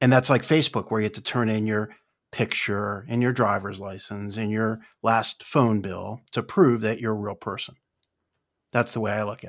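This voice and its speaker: A man with an unremarkable speaking voice talks at a moderate pace and a fairly low pitch. His intonation stays fairly even while his loudness swings a lot. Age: 50s. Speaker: podcaster and former leasing businessman. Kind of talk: casual chat. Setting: online group call.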